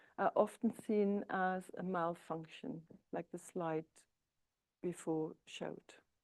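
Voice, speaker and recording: In a very clean recording with a silent background, a woman with a German accent speaks at a fairly slow pace in a dark, mellow tone. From East Germany. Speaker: psychotherapist. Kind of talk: lecture. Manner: hesitant, with filler sounds.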